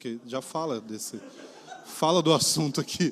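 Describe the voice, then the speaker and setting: On a very clean recording with a silent background, the male speaker keeps to a fairly slow pace. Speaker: pastor. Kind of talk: sermon. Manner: casual, conversational.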